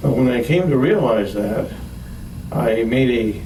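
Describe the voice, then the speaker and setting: Noticeable background noise and audible room echo surround a man's medium-pitched voice. He talks at a fairly slow pace with ordinary pitch variation. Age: 60s. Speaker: heart patient giving testimonial. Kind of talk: testimony. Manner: halting, many fillers and repetitions.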